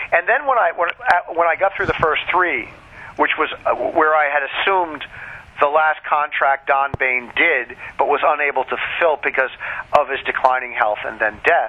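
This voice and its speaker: A man with a fairly high pitch moves at a moderate pace, his pitch varying in an ordinary way, amid noticeable background noise. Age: 60s. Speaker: author. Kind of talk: casual interview.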